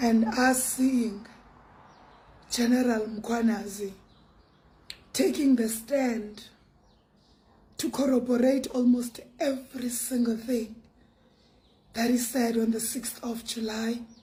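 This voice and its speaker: Speaking at a very slow pace with long, frequent pauses, a woman has a fairly high pitch and a dark, mellow tone. Her intonation is monotone and flat, and audible room echo surrounds her. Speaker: online commentator. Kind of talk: monologue commentary.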